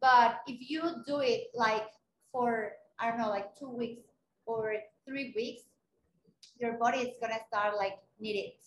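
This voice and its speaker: With a Spanish accent, a woman speaks in a fairly high, monotone, flat voice, leaving long, frequent pauses. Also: big swings in loudness. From Mexico City. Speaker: runner and content creator. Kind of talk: interview. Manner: halting.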